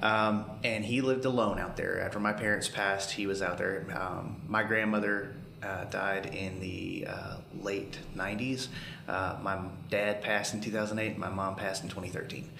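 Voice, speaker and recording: A man with a Southern US accent speaks at a fairly low pitch and a fairly slow pace. His intonation stays fairly even over noticeable background noise. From rural Alabama. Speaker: paramedic and family caregiver. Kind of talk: casual chat.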